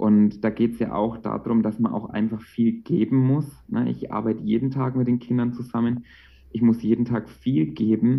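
A man with a plain, everyday voice, medium in pitch, with fairly even intonation at a moderate pace. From Franconia, Bavaria (Bamberg). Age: 20s. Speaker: childcare worker and meditation coach. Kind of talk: casual interview.

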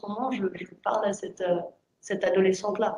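Fairly even intonation from a woman at a medium pitch and a moderate pace. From France. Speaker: writer. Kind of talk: panel discussion. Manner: halting.

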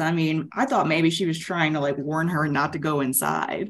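A woman talks at a fairly quick pace with an American accent. She has a normal speaking voice. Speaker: podcast panellist. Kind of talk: casual chat.

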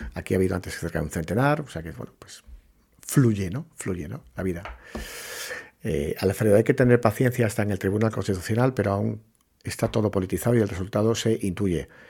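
On a very clean recording with a silent background, a man talks at a fairly quick pace in a dark, mellow, somewhat breathy tone, with big swings in loudness. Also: fairly low pitch for a man, lively intonation. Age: 40s. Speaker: podcast host, journalist. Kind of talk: live-stream monologue, opinion talk. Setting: TikTok live stream. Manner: hesitant, with many fillers and repetitions.

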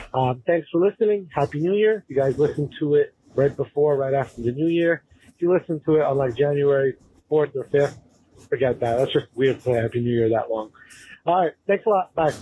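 Recorded dry and close with no echo, a man talks at a fairly quick pace in a somewhat breathy, fairly high voice with a dark, mellow tone and ordinary pitch variation. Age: 30s. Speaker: caller. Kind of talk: recorded voicemail question.

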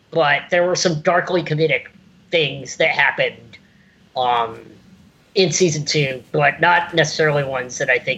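In an American accent, a man talks at a moderate pace. His pitch is fairly high, and his tone is bright and sharp. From US South, South Carolina (Irmo, near Columbia). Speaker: podcast guest. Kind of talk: casual chat.

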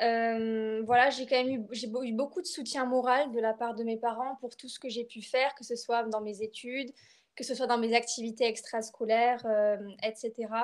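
A woman's voice with big swings in loudness, very cleanly recorded against a silent background. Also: fairly high pitch for a woman, moderate pace. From France, Bordeaux. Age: 20s. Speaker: literature student and poet. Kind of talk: personal testimony interview. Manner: hesitant, many fillers and repetitions.

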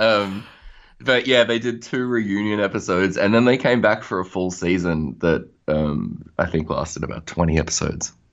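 Ordinary pitch variation and a moderate pace from a man with a fairly low pitch. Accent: Australian. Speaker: musician. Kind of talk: casual interview.

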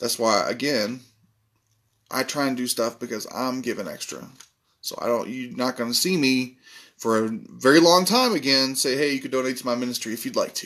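This man has a normal speaking voice, medium pitch with ordinary pitch variation, and talks at a fairly quick pace. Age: 30s. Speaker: religious podcast host. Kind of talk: sermon.

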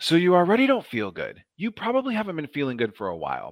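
Against a quiet background, a man with an American accent talks at a very fast pace with very wide pitch swings. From Nebraska, US Midwest. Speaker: nurse practitioner. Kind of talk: casual interview chat about health. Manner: lively, humorous.

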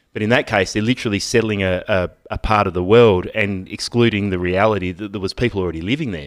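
A man's fairly low voice with an Australian accent, very fast and with hardly any pauses. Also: ordinary pitch variation. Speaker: podcast host, electrician. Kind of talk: casual banter, political chat.

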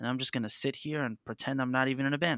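A man with a New York accent, very fast, bright and sharp in tone, fairly even in intonation, in a dry, close sound with no echo on a very clean recording with a silent background. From New York City (Harlem). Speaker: band vocalist. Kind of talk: casual chat.

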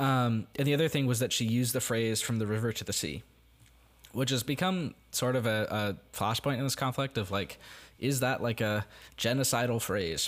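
In a very clean recording with a silent background, a man with an American accent speaks at a medium pitch in an unremarkable speaking voice. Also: ordinary pitch variation, moderate pace. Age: young. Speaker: podcast co-host, college student. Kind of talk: casual chat.

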